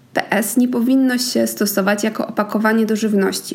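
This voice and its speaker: Over noticeable background noise, a woman talks at a fairly quick pace with a medium pitch and ordinary pitch variation. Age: 20s. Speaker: podcast host. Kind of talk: educational monologue.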